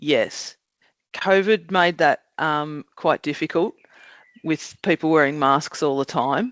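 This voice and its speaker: Ordinary pitch variation at a fairly slow pace, in an Australian accent. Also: woman. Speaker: job coach. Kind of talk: podcast interview. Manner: loud.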